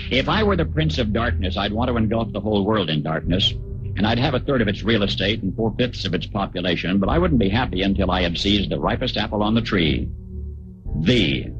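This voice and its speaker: Music plays in the background as a man talks fairly quickly at a fairly low pitch, his loudness very even. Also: ordinary pitch variation. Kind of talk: radio commentary essay reading.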